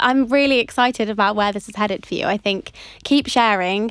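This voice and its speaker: Her plain, everyday voice sits at a fairly high pitch, and this woman keeps her intonation fairly even. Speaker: podcast host. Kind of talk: casual interview chat.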